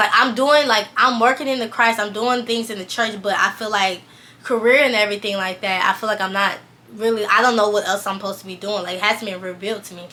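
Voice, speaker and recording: A woman talks at a very fast pace in a fairly high pitch, her intonation fairly even. Noticeable background noise runs underneath. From US South, Valdosta, Georgia. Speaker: fashion stylist and vlogger. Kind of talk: personal testimony. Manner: fast, rambling with fillers.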